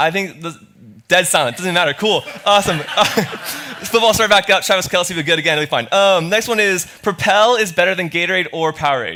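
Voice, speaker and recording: Someone with an American accent talks at a fairly quick pace. The tone is animated, with ordinary pitch variation. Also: man, high pitch for a man. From Florida. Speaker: student pastor. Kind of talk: sermon. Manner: fast.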